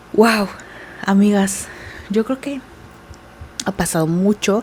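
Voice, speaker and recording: A soft-spoken woman at medium pitch, with noticeable background noise. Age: 20s. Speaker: beauty vlogger. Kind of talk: casual chat. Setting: at home.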